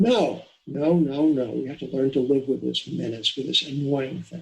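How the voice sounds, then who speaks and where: A man speaks at a fairly high pitch. His voice has vocal fry. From New York, Long Island. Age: 70s. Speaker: economist and financial editor. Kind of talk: interview. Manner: halting. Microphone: poor sound quality.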